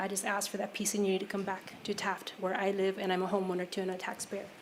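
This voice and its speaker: A woman at medium pitch speaks at a very fast pace. Audible room echo and noticeable background noise come through. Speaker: public commenter. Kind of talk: public comment at council meeting. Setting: city council chambers.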